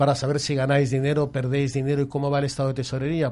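A man with a fairly high pitch and a somewhat breathy voice speaks at a very fast pace. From Catalonia. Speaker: financial consultant. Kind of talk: explanatory talk.

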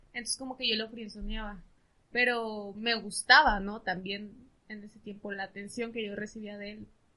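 A woman speaks with a bright, sharp tone in a monotone, flat intonation. Her loudness swings widely from moment to moment. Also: fairly high pitch for a woman, moderate pace. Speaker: psychologist. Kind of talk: casual chat.

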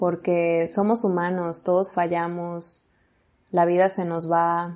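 A woman speaks at a very slow pace in a fairly low pitch. Her intonation is monotone and flat. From Mexico. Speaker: faith podcaster. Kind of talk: inspirational monologue.

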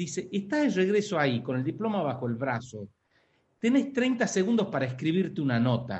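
A high-pitched man's voice in an Argentine accent, with very wide pitch swings. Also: moderate pace. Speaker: podcast host. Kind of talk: interview.

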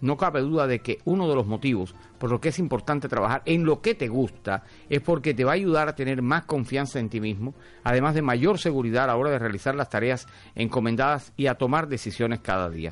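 A man with a plain, everyday voice speaks at a medium pitch and a fairly quick pace, his intonation lively. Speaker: radio host. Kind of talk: casual radio talk show. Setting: radio studio.

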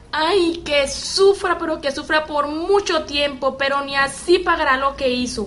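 Over noticeable background noise, a woman speaks at a fairly slow pace with hardly any pauses. Her voice is high-pitched, with ordinary pitch variation. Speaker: amateur actor playing the young cousin Andrea.

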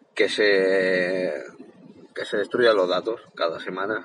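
A man's voice, dry and close with no echo. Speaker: tech youtuber. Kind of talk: tutorial. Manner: halting.

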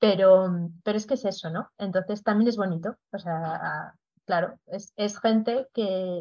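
At a fairly slow pace, a woman talks in a dark, mellow tone at medium pitch with ordinary pitch variation. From Spain, León. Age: 40s. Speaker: proofreader and creative writing teacher. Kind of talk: casual interview.

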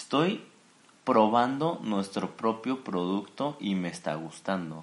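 Speaking at a fairly slow pace with a Mexican accent, a man uses lively intonation at a fairly low pitch. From Mexico, Jalisco. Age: 20s. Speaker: architect and entrepreneur. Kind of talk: interview.

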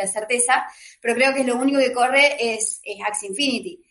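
High-pitched female speech with an ordinary amount of pitch movement. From Argentina. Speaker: lawyer and crypto writer. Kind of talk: panel debate. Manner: halting with repetitions.

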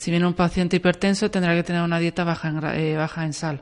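In a quiet background, a woman talks at a fairly quick pace with monotone, flat intonation. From Valencia, Spain. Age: 40s. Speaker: nurse. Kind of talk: radio interview.

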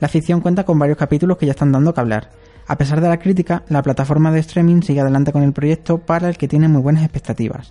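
A man talks at a very fast pace in a fairly high pitch, with fairly even intonation and very even loudness. His tone is dark and mellow, and the sound is dry and close with no echo. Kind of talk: scripted narration; casual chat.

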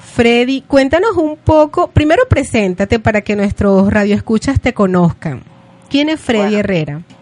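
At a moderate pace, a woman with a fairly high voice and very wide pitch swings is heard in a dry, close sound with no echo, with noticeable background noise. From Venezuela. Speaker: radio host. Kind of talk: radio show.

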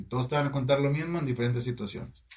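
A man's fairly high-pitched voice. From Mexico, Matamoros, Tamaulipas. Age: 20s. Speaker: chef and funeral business owner. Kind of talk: casual chat.

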